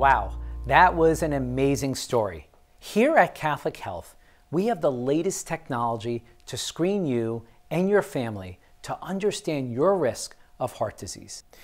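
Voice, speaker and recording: With music in the background, a man talks at a fairly slow pace and his pitch swings very widely. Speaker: program host. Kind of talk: presenter script to camera. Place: studio. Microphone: lapel.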